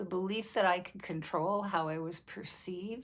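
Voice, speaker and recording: Spoken at a fairly slow pace with vocal fry, the voice sits on a very clean recording with a silent background. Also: woman. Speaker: vlogger. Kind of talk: personal reflection. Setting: video recording.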